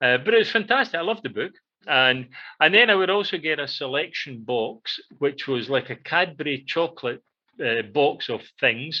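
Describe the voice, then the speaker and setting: A man's bright, sharp voice in a Scottish accent, lively in intonation and moderate in pace, over a quiet background. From central Scotland, near Glasgow. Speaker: radio show co-host. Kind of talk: casual chat. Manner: halting, many fillers.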